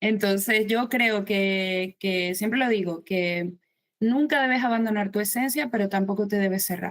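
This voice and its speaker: In a Maracaibo accent, a woman talks at medium pitch and a fairly slow pace, with very even loudness and ordinary pitch variation. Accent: Venezuelan (Maracaibo) accent kept. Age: 50s. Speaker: writer. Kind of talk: interview.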